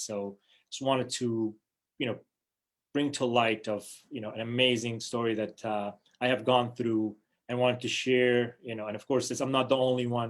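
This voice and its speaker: A man speaks with a Kurdish accent at a medium pitch. His intonation is monotone and flat, and his pace is moderate. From New Hampshire, US (born in Iraq, Kurdish). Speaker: diplomat. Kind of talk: personal talk to online audience. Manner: halting, many fillers.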